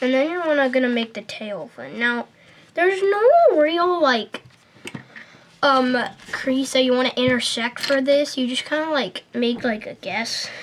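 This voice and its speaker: Noticeable background noise surrounds this recording. A woman with a high pitch speaks at a fairly slow pace. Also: lively intonation. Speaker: paper airplane tutorial maker. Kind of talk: tutorial. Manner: hesitant, many fillers.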